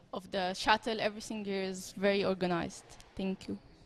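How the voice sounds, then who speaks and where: A woman speaks at a moderate pace with medium pitch. Her intonation is monotone and flat. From Egypt. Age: 20s. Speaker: professional squash player. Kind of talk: interview.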